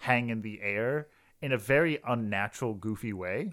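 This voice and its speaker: With ordinary pitch variation and a medium pitch, this man has a plain, everyday voice. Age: 20s. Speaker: podcast co-host and quiz contestant. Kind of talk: casual chat and drink tasting.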